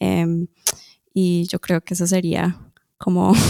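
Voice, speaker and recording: The sound is dry and close with no echo as a woman talks at a very slow pace. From Colombia, moved to Toronto at age 10. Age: adult. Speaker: musician. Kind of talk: interview. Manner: hesitant, many fillers.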